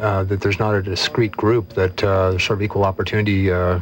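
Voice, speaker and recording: A man talks at a fairly quick pace with a fairly low pitch and flat, monotone intonation. Noticeable background noise runs under his voice. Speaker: commentator on the political left. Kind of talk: radio panel debate.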